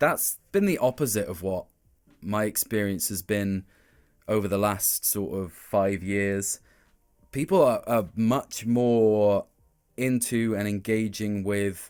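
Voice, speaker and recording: Music plays in the background as a man with a fairly low pitch speaks at a very slow pace. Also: ordinary pitch variation. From Wales, Cardiff. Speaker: voice actor. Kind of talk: interview.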